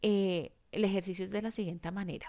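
A woman's voice has a calm, warm tone that is also dark and mellow, with ordinary pitch variation. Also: quiet background. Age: 50s. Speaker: life coach podcast host. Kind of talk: reflective monologue with guided exercise.

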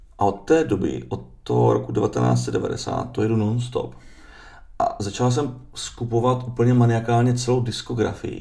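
Noticeable background noise and audible room echo come along with a man's speech. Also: fairly slow pace. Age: 40s. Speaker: distiller. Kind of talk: casual interview. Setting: studio.

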